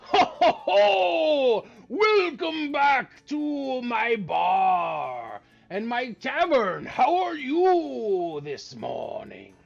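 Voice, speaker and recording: A man uses a put-on character voice with an extremely high pitch. He speaks at a very slow pace over faint background music. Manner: jovial, welcoming.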